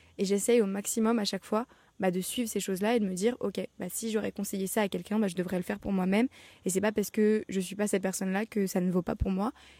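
Speaking very fast, a woman of medium pitch keeps a flat monotone with a dark, mellow tone. The sound is dry and close with no echo, in a very clean recording with a silent background. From France. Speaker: podcaster. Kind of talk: casual monologue. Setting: outdoors in her garden. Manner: casual, self-correcting.

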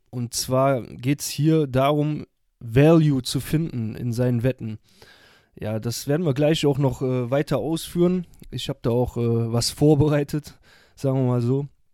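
Dark and mellow in tone, a man's voice sits at a medium pitch with fairly even intonation and a fairly slow pace. The recording is very clean and silent in the background, dry and close with no echo. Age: 30s. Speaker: podcast host, sports bettor. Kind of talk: solo monologue podcast. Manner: casual, many fillers and hesitations.

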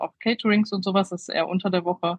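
Her voice has a somewhat breathy quality. The intonation she uses is fairly even. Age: 30s. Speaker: make-up artist. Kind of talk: interview. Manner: halting, many fillers.

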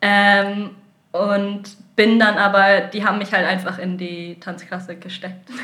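A woman's medium-pitched, monotone voice with flat intonation at a very slow pace, big swings in loudness, and audible room echo. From northern Germany (Lower Saxony, near Hamburg/Bremen). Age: 20s. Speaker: contemporary dancer. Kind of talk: interview. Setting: recorded in Sardinia.

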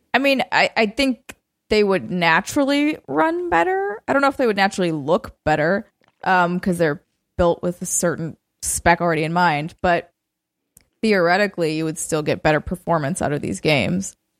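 A woman's unremarkable speaking voice, fairly low in pitch, with lively intonation at a moderate pace, dry and close with no echo on a very clean recording with a silent background. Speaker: video game podcast co-host. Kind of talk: casual chat.

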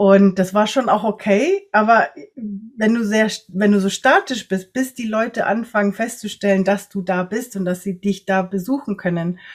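Here a woman talks in a normal speaking voice of medium pitch, at a moderate pace. Her intonation stays fairly even, and she hardly pauses at all. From Latin America (Ecuador, Nicaragua, Costa Rica) and Germany. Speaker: energy worker and coach for empaths. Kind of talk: interview conversation.

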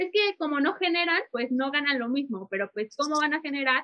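Her pitch swinging very widely, a woman speaks fairly quickly. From Mexico. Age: 20s. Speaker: sports journalist. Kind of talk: casual interview.

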